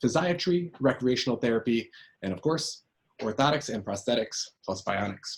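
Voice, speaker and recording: A man's medium-pitched, somewhat breathy voice with lively intonation and an American accent. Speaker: orthotist. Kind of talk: conference presentation. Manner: fast.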